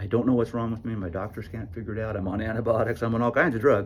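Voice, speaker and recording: A man's somewhat breathy voice at a medium pitch. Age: 60s. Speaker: plumber. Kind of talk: casual talk to camera.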